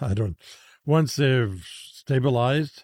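Lively intonation and a dark, mellow tone in a very clean recording with a silent background. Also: man. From Saskatchewan, Canada. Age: 80s. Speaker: former priest and chaplain who helps gang members leave gangs. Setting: studio.

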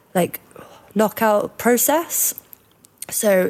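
Vocal fry runs through this woman's speech, which has lively intonation. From northwest England, Cheshire near Liverpool. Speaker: student, podcast panelist. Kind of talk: casual chat.

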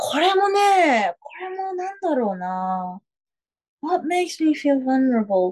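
A woman speaks at a very slow pace in a high pitch. Her voice makes very wide pitch swings and big swings in loudness. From New Zealand. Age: 30s. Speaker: radio personality. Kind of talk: casual chat. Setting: remote call at 3am.

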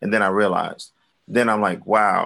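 Over a quiet background, a man talks in a Brooklyn accent. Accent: New York (Brooklyn). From Brooklyn, New York. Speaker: rapper and recording artist. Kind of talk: casual interview chat.

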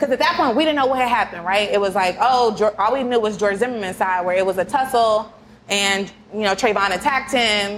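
Speaking with an American accent and an unremarkable speaking voice, a woman keeps a fairly quick pace, fairly high pitch, ordinary pitch variation and very even loudness. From Kansas City, US Midwest. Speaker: lawyer, podcast co-host. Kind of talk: casual chat.

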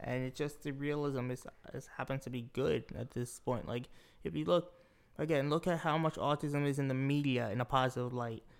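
A man speaks in a normal speaking voice. His medium pitch shows ordinary pitch variation. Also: fairly quick pace. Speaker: podcast co-host. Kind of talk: casual chat. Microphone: new professional mic, face very close.

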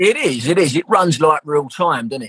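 In a Southeast London accent, a man talks with a bright, sharp tone. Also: dry, close sound with no echo. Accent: London (south-east). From South East London. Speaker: actor. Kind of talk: casual interview chat.

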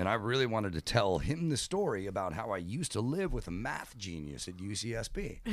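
A man's unremarkable speaking voice with lively intonation. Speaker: radio show producer. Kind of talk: casual chat.

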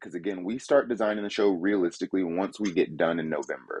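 This man has a fairly low pitch and a fairly quick pace. It is a plain, everyday voice. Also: dry, close sound with no echo. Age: 30s. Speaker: haunted house creator. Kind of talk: interview.

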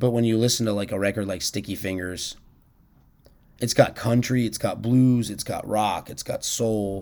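Using a plain, everyday voice, a man talks at a moderate pace, his fairly low pitch showing ordinary variation. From Washington, D.C. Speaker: musician. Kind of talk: casual chat.

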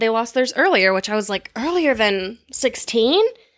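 A woman speaks in an unremarkable speaking voice, fairly high in pitch. Her intonation is lively and her pace moderate. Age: 30s. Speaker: podcast guest. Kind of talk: casual chat.

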